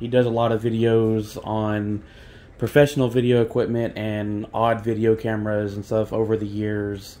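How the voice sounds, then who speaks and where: Monotone, flat intonation comes from a man speaking at a moderate pace. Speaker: hobbyist video camera collector. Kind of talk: casual talk to camera. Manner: hesitant, many pauses and fillers. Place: kitchen. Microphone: phone near.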